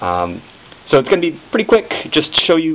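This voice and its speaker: A man's voice over noticeable background noise. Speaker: indie game developer. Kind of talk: casual talk to camera. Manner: awkward, halting, stuttery.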